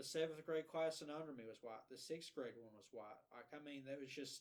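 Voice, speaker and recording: Speaking with an Appalachian accent, a man goes at a fairly quick pace and fairly high pitch, with big swings in loudness. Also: ordinary pitch variation. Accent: Appalachian Southern US. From Eastern Kentucky (Letcher County). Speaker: podcast co-host and independent filmmaker. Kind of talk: casual podcast conversation. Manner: halting with many repetitions.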